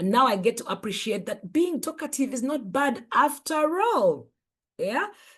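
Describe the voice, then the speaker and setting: A woman talks at a fairly slow pace with vocal fry. Her pitch swings very widely. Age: 50s. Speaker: life coach and author. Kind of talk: motivational talk. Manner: animated.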